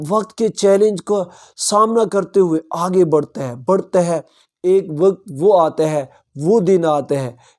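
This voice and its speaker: In a very clean recording with a silent background, a man talks in a high pitch with ordinary pitch variation. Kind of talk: Islamic motivational talk.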